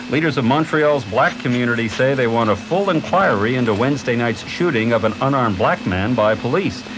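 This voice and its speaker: Noticeable background noise sits behind a man talking at a very fast pace. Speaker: radio newscaster. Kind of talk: radio news bulletin read. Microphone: old recording.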